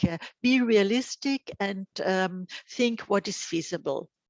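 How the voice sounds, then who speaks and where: Recorded with a dry, close sound and no echo, a woman speaks at medium pitch with fairly even intonation. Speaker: presenter at an information day. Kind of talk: online presentation. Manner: halting, many fillers.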